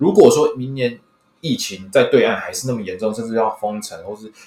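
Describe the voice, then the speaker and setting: A man with a Taiwanese accent speaks at a fairly quick pace in a medium-pitched voice. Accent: Taiwanese Mandarin. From Taiwan, Hsinchu. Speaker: sports fan, former sports columnist. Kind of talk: casual chat.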